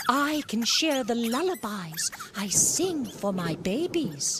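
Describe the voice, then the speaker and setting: A put-on character voice, fairly high in pitch, at a fairly slow pace, with very wide pitch swings and clear background noise. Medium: read story.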